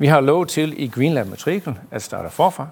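A man's voice with ordinary pitch variation. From US, New York. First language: English (speaking Danish). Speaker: director of an energy park. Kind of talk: live panel interview.

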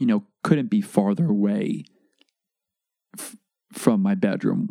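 A man speaks quietly in a dry, close recording with no echo. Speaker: podcast host. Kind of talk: casual monologue. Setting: home bedroom recording. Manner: low volume, quiet; casual, halting with false starts.

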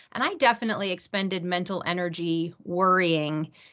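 This woman has a normal speaking voice with an American accent and fairly low pitch. Her intonation is fairly even, her pace moderate. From US East Coast. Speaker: company general counsel, former litigator. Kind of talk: podcast interview.

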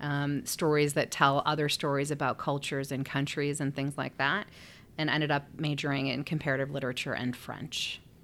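A woman's very deep, low voice at a fairly quick pace, monotone and flat, in a very clean recording with a silent background. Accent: Chicago. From Chicago area (Skokie). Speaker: nonprofit CEO. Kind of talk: interview.

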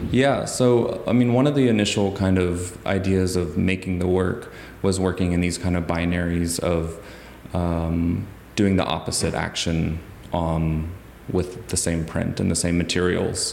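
With an American accent, this speaker talks at a fairly slow pace with very even loudness and ordinary pitch variation, and audible room echo can be heard. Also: man, very deep, low pitch for a man. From US South, Huntsville, Alabama. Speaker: photographic artist. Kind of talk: interview. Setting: art gallery.

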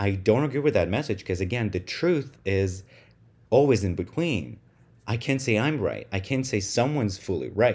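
A man with a Russian accent speaks at a moderate pace and a medium pitch, with lively intonation. He leaves long, frequent pauses on a very clean recording with a silent background. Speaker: podcast host. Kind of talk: solo monologue podcast. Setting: home room recording.

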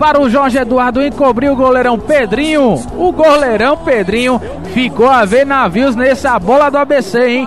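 Against noticeable background noise, a man speaks at an extremely high pitch. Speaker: radio co-commentator. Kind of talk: live radio football commentary. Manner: animated, enthusiastic, jovial.

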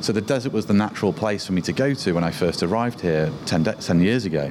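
A man with a British accent, plus noticeable background noise. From UK. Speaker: photographer. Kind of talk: interview.

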